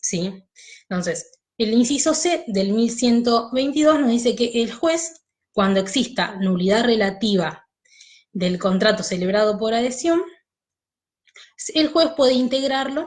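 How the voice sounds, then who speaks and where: A woman speaks at a fairly slow pace with fairly high pitch and lively intonation, leaving long, frequent pauses. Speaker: law teacher. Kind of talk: online lecture.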